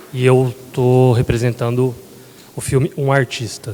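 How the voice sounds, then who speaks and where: Noticeable background noise runs under a man speaking at a very slow pace. His pitch is medium, and his intonation is fairly even. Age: 30s. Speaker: filmmaker. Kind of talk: panel self-introduction.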